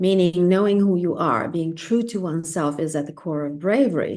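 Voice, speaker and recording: A woman with a non-native accent speaks at a moderate pace in a dark, mellow tone, her pitch fairly low and her intonation lively. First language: not English. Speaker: spiritual guest speaker. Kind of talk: casual conversation, live stream. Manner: hesitant, self-correcting.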